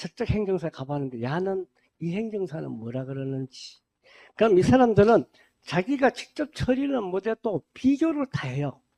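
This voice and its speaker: Dry and close with no echo, a man's voice has a dark, mellow tone. He keeps a moderate pace while his pitch swings very widely. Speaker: administrative agent lecturer. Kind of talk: lecture. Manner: casual, conversational.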